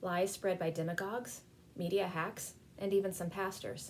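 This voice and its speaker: A woman speaks at a moderate pace with an American accent and medium pitch. It is a normal speaking voice. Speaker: spiritual program director giving a civic sermon. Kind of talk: sermon-style talk on civic themes.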